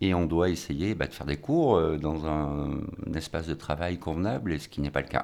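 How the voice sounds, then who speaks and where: Ordinary pitch variation and a moderate pace from a man with a very deep, low voice. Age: 50s. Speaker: vocational cooking teacher. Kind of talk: radio interview. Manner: halting, repeats words.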